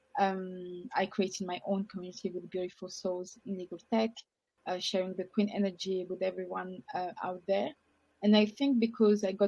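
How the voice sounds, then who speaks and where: A woman's medium-pitched voice with a dark, mellow tone and a French accent, fairly even intonation and a fairly quick pace. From France. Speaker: legal tech professional, former lawyer. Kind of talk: panel discussion.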